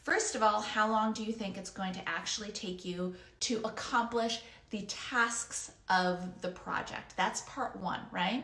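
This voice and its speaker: Audible room echo surrounds a woman speaking at a fairly slow pace in a fairly high pitch with fairly even intonation. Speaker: freelance business coach. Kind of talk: online course lesson.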